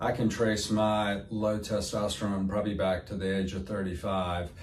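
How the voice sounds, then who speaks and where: A man speaks at a fairly low pitch with an American accent, and there's audible room echo around his voice. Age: 60s. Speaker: medical spa owner. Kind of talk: interview answer. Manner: halting, many fillers.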